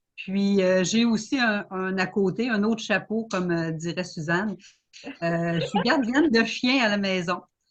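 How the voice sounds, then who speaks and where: A woman speaks at a fairly slow pace in a medium pitch, her voice somewhat breathy. Her pitch rises and falls in an ordinary way. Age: 50s. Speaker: home business seller. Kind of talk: self-presentation in online panel.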